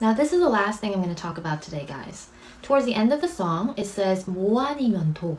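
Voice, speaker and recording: A woman with a Korean accent talks at a fairly quick pace with very wide pitch swings over noticeable background noise. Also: medium pitch for a woman. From South Korea. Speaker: YouTuber explaining K-pop lyrics. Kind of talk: tutorial. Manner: casual, friendly.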